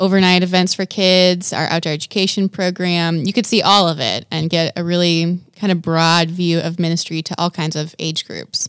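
With hardly any pauses, a woman in a normal speaking voice talks at a moderate pace and fairly low pitch, her intonation fairly even and the sound dry and close with no echo. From Wisconsin. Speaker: youth and children's ministry coordinator. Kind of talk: interview. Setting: studio.

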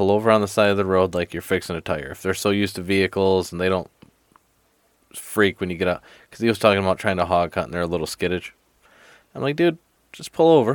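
A man with an American accent speaks at a very fast pace yet with long, frequent pauses, his pitch very deep and low. His pitch variation is ordinary, and the sound is dry and close with no echo. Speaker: podcast host. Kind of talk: casual chat. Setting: studio. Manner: animated.

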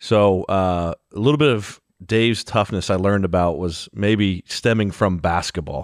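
A man with an American accent talks at a moderate pace in an unremarkable speaking voice, pitched fairly low. The sound is dry and close with no echo, over a quiet background. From Ohio. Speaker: podcast co-host. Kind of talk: casual interview.

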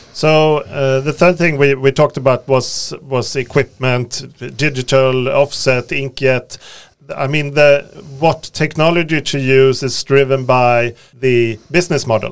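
With a Swedish accent, a man speaks fairly slowly in a fairly high pitch, his intonation fairly even. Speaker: podcast host. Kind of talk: interview. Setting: studio.

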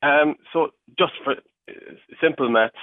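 In a Cork accent, a man speaks with ordinary pitch variation. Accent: Cork Irish. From mid Cork, Ireland. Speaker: agritech company worker. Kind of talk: radio interview.

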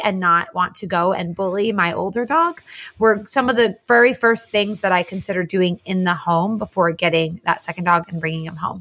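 A woman speaks in an ordinary speaking voice with an American accent, her pitch medium. Her pitch varies in an ordinary way, and her pace is moderate. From New Jersey. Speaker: podcast host. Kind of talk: casual chat.

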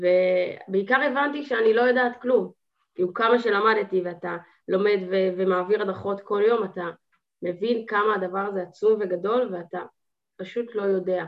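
A woman's plain, everyday voice at a medium pitch with fairly even intonation. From Israel, Haifa. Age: 20s. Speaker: student and gardening business owner. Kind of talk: casual chat.

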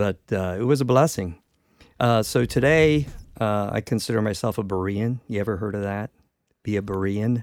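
A man with a plain, everyday voice, fairly low in pitch with ordinary pitch variation, at a moderate pace in a dry, close sound with no echo. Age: 50s. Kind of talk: testimony.

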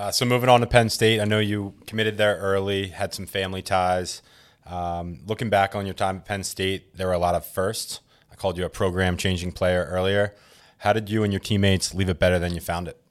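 A man's fairly low voice in a flat, monotone delivery. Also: fairly quick pace. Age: 30s. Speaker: podcast co-host and lacrosse coach. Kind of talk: casual interview. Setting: studio.

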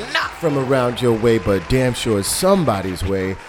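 A man with an American accent is heard with crowd noise in the background and audible room echo. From New York City. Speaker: podcast host. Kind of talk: casual chat. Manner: animated.

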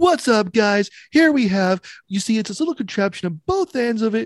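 An energetic, put-on character voice at a moderate pace, with a dry, close sound and no echo. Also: man, high pitch for a man. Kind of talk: casual, enthusiastic. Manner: hyped, energetic pitch.

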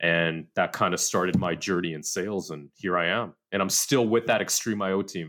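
A man with an American accent speaks at a very deep, low pitch and a moderate pace, with fairly even intonation. The recording is very clean, with a silent background. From Southern California. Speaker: tech sales director. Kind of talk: casual interview.

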